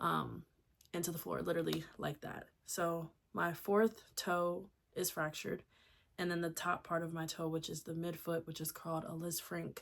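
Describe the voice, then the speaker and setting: A woman speaks with an American accent at a moderate pace. The recording is very clean, with a silent background. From Delaware, US. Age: 30s. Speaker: lifestyle vlogger. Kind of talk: casual vlog talk. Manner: casual, filler-heavy.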